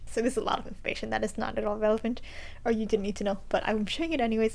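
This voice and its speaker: Talking very fast, a woman with a fairly high pitch shows ordinary pitch variation and vocal fry. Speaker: knitting podcaster. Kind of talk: casual vlog monologue.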